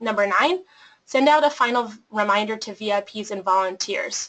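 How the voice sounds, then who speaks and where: This woman has a bright, sharp tone, a fairly high pitch and an American accent. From Colorado, US. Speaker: nonprofit program manager. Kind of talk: webinar presentation.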